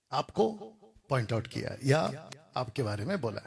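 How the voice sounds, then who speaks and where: A man with a Telangana accent speaks with vocal fry and very wide pitch swings. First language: Telugu (speaking Hindi). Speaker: pastor and Bible college teacher. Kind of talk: video commentary rebuttal. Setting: with Bible college students.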